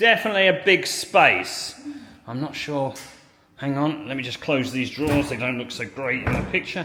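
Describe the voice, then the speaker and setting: Noticeable background noise runs behind a man speaking at a moderate pace. His pitch is fairly high and his intonation lively. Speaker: real estate agent. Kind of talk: property tour vlog. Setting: indoors in condo building. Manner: loud; animated.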